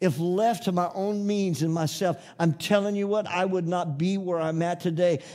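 A man's high-pitched yet dark, mellow voice at a moderate pace, with fairly even intonation, in a very clean recording against a silent background. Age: 60s. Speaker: pastor. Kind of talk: sermon. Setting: church.

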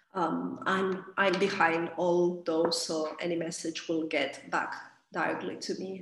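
A woman's fairly low, monotone, flat voice at a very slow pace, with audible room echo. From Spain, Catalonia. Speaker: yoga teacher. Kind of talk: personal birth story interview.

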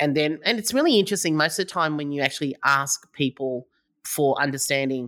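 Speaking at a very fast pace, the woman has a very deep, low pitch and an Australian accent. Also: very clean recording, silent background. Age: 50s. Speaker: startup founder. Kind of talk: interview.

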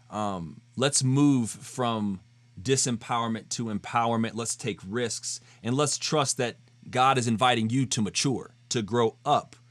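A man speaks in a plain, everyday voice at a fairly slow pace in a very clean recording with a silent background. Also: medium pitch for a man. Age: 30s. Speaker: podcast host. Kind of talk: casual chat.

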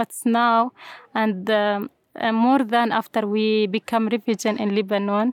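In an Arabic accent, a woman speaks at a fairly high pitch with monotone, flat intonation, in a dry, close sound with no echo. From Syria, Homs. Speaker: refugee, English teacher. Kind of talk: interview. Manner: halting, hesitant English.

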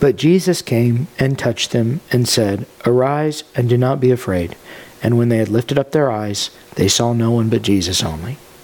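Using a plain, everyday voice, a man of medium pitch talks at a moderate pace with ordinary pitch variation. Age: 30s. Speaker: pastor. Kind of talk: sermon.

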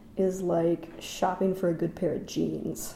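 The voice belongs to a woman. Her speech carries an American accent. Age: 30s. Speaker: actor and writer. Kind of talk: casual interview conversation. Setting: at guest's home.

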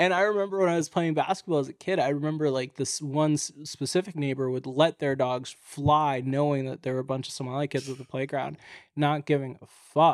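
At a fairly quick pace, a man speaks with a fairly high-pitched voice. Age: 20s. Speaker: stand-up comedian. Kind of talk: casual chat. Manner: joking, animated.

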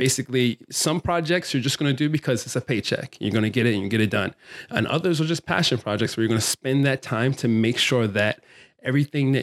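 A man with an American accent, medium pitch and ordinary pitch variation at a very fast pace and very even loudness, in a very clean recording with a silent background and a dry, close sound with no echo. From Baltimore, Maryland, US. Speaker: plant stylist and filmmaker. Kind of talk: interview conversation.

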